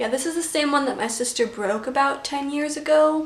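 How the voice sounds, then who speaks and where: A woman mumbles at a moderate pace. Noticeable background noise and audible room echo surround her voice. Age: 20s. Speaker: vlogger. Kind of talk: casual chat. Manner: mumbling.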